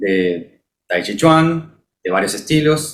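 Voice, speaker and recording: A man in a Rioplatense accent. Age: 30s. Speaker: martial arts practitioner. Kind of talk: casual chat.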